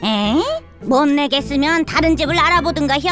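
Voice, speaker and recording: Over clear music in the background, a woman does a high-pitched cartoonish character voice at a moderate pace. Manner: folksy, dismissive.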